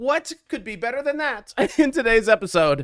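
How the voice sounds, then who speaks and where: In a very clean recording with a silent background and a dry, close sound with no echo, a man talks at a moderate pace in a bright, sharp, animated tone with very wide pitch swings. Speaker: strategy game streamer. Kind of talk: gameplay commentary.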